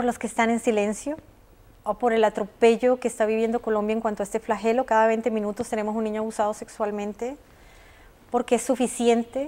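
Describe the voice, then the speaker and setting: A woman's dark, mellow voice at a fairly quick pace, monotone and flat. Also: fairly high pitch for a woman. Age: 40s. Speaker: abuse survivor. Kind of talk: testimony. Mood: emotional personal testimony. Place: studio. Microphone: lapel.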